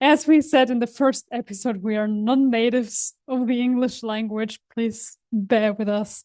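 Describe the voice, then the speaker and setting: At a moderate pace, a woman speaks at a fairly high pitch in a dark, mellow tone over a quiet background. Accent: German. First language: German. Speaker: podcast co-host. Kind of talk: casual chat.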